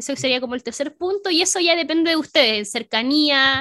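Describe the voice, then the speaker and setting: Raising and projecting her high voice, a woman talks at a fairly quick pace with lively intonation and a Chilean accent. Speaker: cosplayer and streamer. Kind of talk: casual chat.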